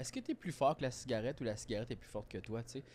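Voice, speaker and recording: A man with a Quebec accent. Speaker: comedian podcast co-host. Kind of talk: casual chat. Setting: studio. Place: home room. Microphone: studio mic.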